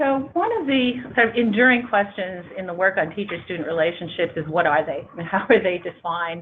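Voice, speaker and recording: Speaking at a fairly quick pace with hardly any pauses, a woman uses lively intonation at a medium pitch. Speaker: education researcher. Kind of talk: panel presentation. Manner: fast; hesitant fillers.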